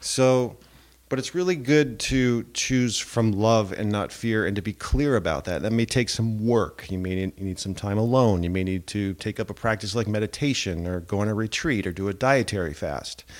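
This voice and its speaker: Speaking in a normal speaking voice at a moderate pace with hardly any pauses, a man keeps a fairly low pitch and ordinary pitch variation in a very clean recording with a silent background. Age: 40s. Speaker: podcast host and relationship coach. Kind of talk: solo monologue podcast. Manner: casual, with frequent fillers.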